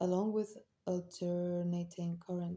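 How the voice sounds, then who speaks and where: A woman speaks at a very slow pace with a non-native accent. Her medium-pitched voice has a dark, mellow tone. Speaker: amateur audiobook reader. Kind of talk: audiobook nonfiction reading.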